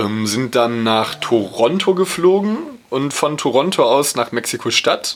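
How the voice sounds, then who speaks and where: Over noticeable background noise, a man at a medium pitch speaks at a fairly slow pace with very wide pitch swings. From Ruhr area, near Dortmund. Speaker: podcast co-host. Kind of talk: casual chat.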